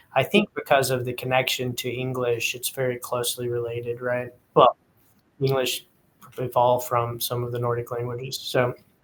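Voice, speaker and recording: With an American accent, a man speaks at a medium pitch in a monotone, flat intonation. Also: moderate pace. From East Texas. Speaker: podcast host. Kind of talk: casual interview.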